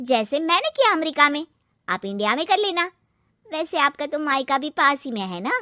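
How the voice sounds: A woman does a cartoonish character voice, high-pitched with big pitch swings and a bright, sharp tone, delivered at a moderate pace.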